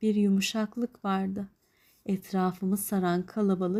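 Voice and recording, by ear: Text read aloud in a natural voice, intonation fairly even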